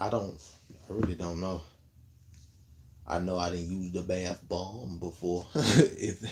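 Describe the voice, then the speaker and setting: Over light background noise, a somewhat breathy man with an American accent speaks in a relaxed tone at a very deep, low pitch and a fairly slow pace, with fairly even intonation and long, frequent pauses. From Memphis, Tennessee (US South); Tennessee. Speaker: content creator / livestreamer; live streamer. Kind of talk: casual livestream chat answering viewer comments. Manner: laid-back, relaxed. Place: home room. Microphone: phone near.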